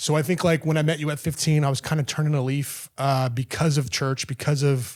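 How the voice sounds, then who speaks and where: On a very clean recording with a silent background, a man talks at a fairly quick pace and fairly high pitch with fairly even intonation and hardly any pauses. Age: 30s. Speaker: podcast guest, father of three. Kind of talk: interview conversation. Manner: halting, many fillers.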